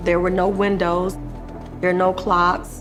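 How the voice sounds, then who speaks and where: Against music in the background, a woman speaks in a medium pitch with monotone, flat intonation. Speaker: former surgical nurse, solitary confinement survivor. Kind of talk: documentary narration.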